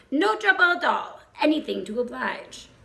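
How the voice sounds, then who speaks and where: A woman puts on a character voice, high in pitch, at a moderate pace. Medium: read story.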